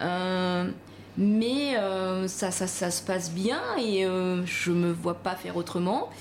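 Audible room echo surrounds a woman speaking at a very slow pace. Her medium pitch shows ordinary variation at very even loudness. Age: 40s. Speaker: pastry chef. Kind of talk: interview.

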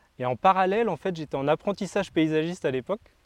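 A man talks at a fairly quick pace with lively intonation in a plain, everyday voice. The background is quiet, and the sound is dry and close with no echo. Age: 20s. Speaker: gardener and former reality TV contestant. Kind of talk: casual interview. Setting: outdoors.

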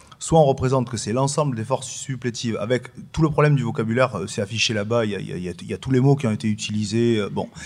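A man's medium-pitched voice at a very fast pace. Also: ordinary pitch variation. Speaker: political science professor. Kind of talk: panel discussion.

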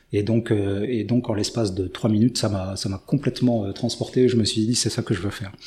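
A man speaks at a fairly low pitch and a fairly quick pace, with fairly even intonation. His tone is dark and mellow, and somewhat breathy. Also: hardly any pauses. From France. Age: 50s. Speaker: army officer. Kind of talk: testimony.

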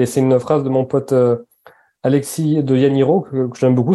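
The man's voice has a dark, mellow tone at a medium pitch. His intonation stays fairly even. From French Basque Country. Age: 30s. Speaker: entrepreneur, founder of a clothing brand. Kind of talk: interview conversation. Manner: halting, with many repetitions.

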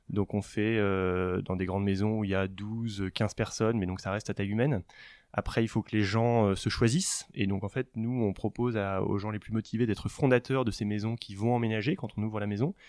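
A man with a fairly low pitch talks at a fairly quick pace and fairly even intonation. The sound is dry and close with no echo, over a quiet background. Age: 40s. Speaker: startup founder. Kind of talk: interview. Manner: halting.

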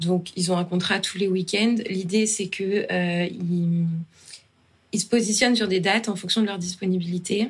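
A woman with a normal speaking voice, medium pitch, fairly even intonation and a fairly slow pace. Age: 30s. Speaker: founder of a children's entertainment company. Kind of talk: casual interview.

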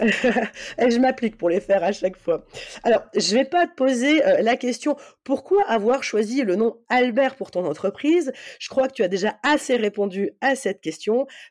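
A woman's high voice with lively intonation at a fairly slow pace, in a very clean recording with a silent background. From north-eastern France near the German border. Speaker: podcast host. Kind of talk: casual podcast chat.

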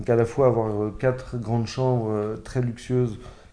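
A man's dark, mellow tone in a monotone, flat delivery at a fairly slow pace. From France, Paris. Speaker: entrepreneur. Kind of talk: interview. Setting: on location at his estate. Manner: halting, many repetitions and fillers.

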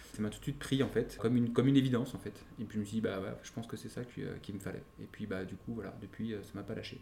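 The voice has a dark, mellow tone with vocal fry and fairly even intonation. It moves at a very fast pace with big swings in loudness. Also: man, fairly low pitch for a man. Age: 30s. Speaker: wine entrepreneur. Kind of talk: interview.

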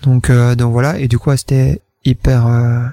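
A man's somewhat breathy, dark and mellow voice, dry and close with no echo. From Wallonia, Belgium (Namur province). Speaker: entrepreneur. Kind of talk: interview. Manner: hesitant, many fillers.

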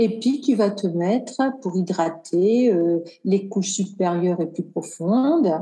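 A woman's dark, mellow, somewhat breathy voice. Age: 50s. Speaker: cosmetic engineer and skincare brand founder. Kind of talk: casual interview.

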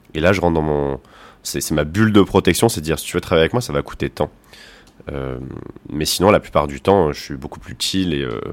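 A man with a very deep, low pitch talks at a fairly quick pace, broken by long, frequent pauses. His loudness swings widely, his pitch varies in an ordinary way, and the recording is very clean over a silent background. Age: 20s. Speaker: explorer and content creator. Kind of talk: casual interview.

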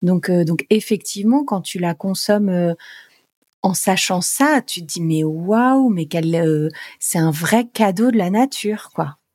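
Close and dry with no echo, a woman's medium-pitched voice moves at a very slow pace. Her speech is unhurried throughout. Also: lively intonation. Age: 40s. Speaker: spirulina farm co-manager and yoga teacher. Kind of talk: casual interview.

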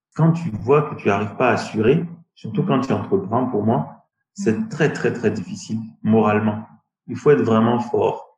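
A man's voice is somewhat breathy, with a fairly slow pace. His pitch swings very widely. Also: medium pitch for a man. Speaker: tech entrepreneur. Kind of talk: interview. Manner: halting.

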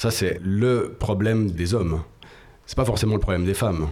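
Amid audible room echo, a man talks fairly quickly at a fairly low pitch. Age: 30s. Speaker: podcast co-creator sharing personal story. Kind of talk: casual interview.

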